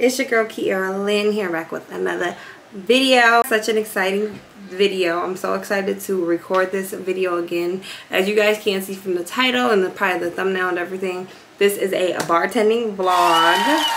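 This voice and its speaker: With ordinary pitch variation and a moderate pace, a woman speaks against light background noise. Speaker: vlogger. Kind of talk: casual vlog chat. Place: home room. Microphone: phone near.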